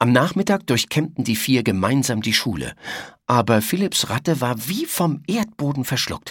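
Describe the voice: Lively intonation over plain reading aloud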